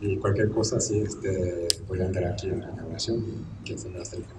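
Over loud background noise, a man speaks in a very deep, low voice with fairly even intonation. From Japan. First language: Japanese (speaking Spanish). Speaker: sculptor; speaker. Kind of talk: speech. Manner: halting. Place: hall. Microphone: podium.

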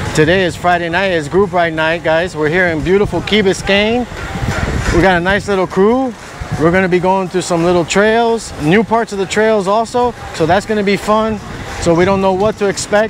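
A man talks at a moderate pace with fairly even intonation. The sound is dry with no echo, over light background noise. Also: very even loudness. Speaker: channel host riding. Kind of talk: casual vlog chat. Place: street. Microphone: phone near.

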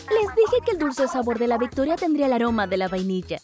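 A put-on character voice races along at a very fast pace with fairly high pitch. Clear music plays in the background. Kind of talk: video game fan dub dialogue. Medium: dub.

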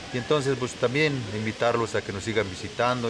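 A man talks at a moderate pace. Noticeable noise sits in the background. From Mexico, Hidalgo. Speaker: local worker at tourist site; interviewee. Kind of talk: interview. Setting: outdoors. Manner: halting. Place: open country.

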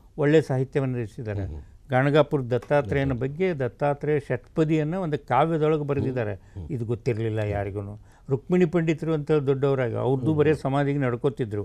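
With a dark, mellow tone and ordinary pitch variation, a man talks over a quiet background. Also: fairly high pitch for a man. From northern Karnataka, Bijapur district; Karnataka, India. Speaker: writer and researcher; interviewee. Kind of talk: interview. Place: studio. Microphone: lapel.

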